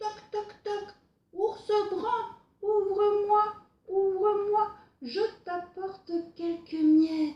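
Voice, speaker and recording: A woman's put-on character voice, extremely high-pitched and very slow, with long, frequent pauses. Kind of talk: bedtime story. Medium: read story.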